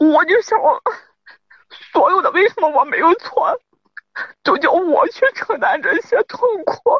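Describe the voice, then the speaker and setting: The pace is fairly slow, broken by long, frequent pauses. Pitch swings very widely throughout. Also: woman, extremely high pitch for a woman. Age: 30s. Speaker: caller to advice show. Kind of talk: personal account of marital problem. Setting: phone call from a parked car. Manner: halting, repetitive.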